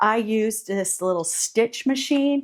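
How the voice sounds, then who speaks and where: A woman with a plain, everyday voice, fairly high in pitch with lively intonation, at a fairly slow pace in a very clean recording with a silent background. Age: 50s. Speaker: fashion vlogger. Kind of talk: casual product talk. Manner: casual, with filler words.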